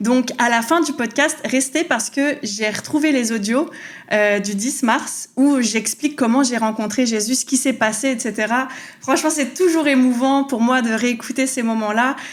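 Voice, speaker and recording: The tone is animated and the pace fairly slow, with very even loudness and noticeable background noise. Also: woman, high pitch for a woman, ordinary pitch variation. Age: 30s. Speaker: faith podcaster. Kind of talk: testimony.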